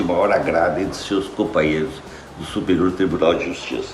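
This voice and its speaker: Noticeable background noise and audible room echo around fairly even intonation. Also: man. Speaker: retired judge. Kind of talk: testimony.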